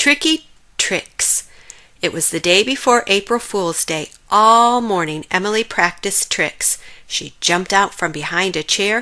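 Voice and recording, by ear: Woman at medium pitch, bright, sharp tone and fairly slow pace. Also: ordinary pitch variation.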